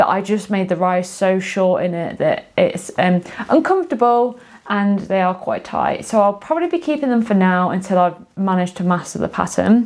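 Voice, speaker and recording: Amid noticeable background noise, a woman talks at a medium pitch with ordinary pitch variation. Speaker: sewing and knitting vlogger. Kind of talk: casual video monologue. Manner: fast; hesitant, many fillers.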